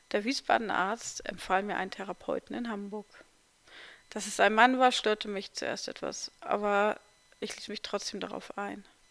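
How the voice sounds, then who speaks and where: A woman talks at a moderate pace in a medium pitch with vocal fry, fairly even intonation and big swings in loudness. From eastern Germany, near Magdeburg. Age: 40s. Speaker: podcaster sharing life story. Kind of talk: personal memoir narration.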